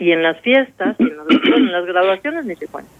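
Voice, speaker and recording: Lively intonation marks a woman's moderate-paced speech over noticeable background noise. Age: 50s. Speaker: addiction specialist. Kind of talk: radio interview.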